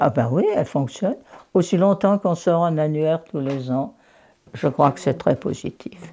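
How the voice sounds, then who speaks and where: A woman's very deep, low voice with lively intonation at a fairly slow pace. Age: 80s+. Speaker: local historian. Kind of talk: interview answer.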